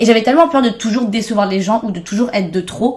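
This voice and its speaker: Somewhat breathy and fairly high-pitched, a woman speaks at a very fast pace. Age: 20s. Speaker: content creator. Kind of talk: podcast interview.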